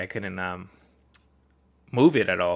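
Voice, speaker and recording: A man is speaking. His pace is moderate. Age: 30s. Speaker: physiotherapist and podcast host. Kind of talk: casual monologue. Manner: many fillers (um).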